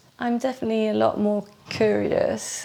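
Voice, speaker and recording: Noticeable background noise runs beneath a woman talking at a fairly slow pace. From UK and Belgium. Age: 40s. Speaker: reflexologist. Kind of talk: interview. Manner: halting.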